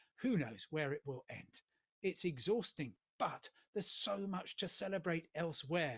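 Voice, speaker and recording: A man with a British accent speaks at a moderate pace in a high voice with lively intonation. The sound is dry and close, with no echo. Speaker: travel journalist and TV presenter. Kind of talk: humorous guest address at online awards ceremony. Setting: remote video link. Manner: hesitant, many fillers.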